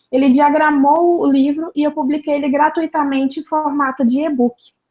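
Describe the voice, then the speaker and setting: With a strong Minas Gerais accent, a woman speaks in a high-pitched voice. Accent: Minas Gerais (mineiro), strong, drawling. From Minas Gerais, Brazil. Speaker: journalist and church social media speaker. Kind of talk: interview.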